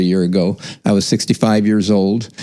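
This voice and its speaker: Speaking at a moderate pace, a man has an ordinary speaking voice, fairly low in pitch with fairly even intonation. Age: 60s. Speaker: doctor and gym member. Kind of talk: podcast interview.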